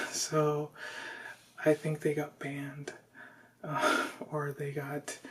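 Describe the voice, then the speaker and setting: The voice is soft-spoken over noticeable background noise. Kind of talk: casual vlog talk to camera.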